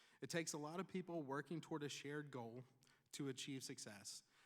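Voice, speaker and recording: A man speaks very fast in a fairly high voice, with ordinary pitch variation. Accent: Tennessee. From Tennessee. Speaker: commencement speaker, pharmacist and nonprofit leader. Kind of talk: commencement speech. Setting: graduation ceremony with audience.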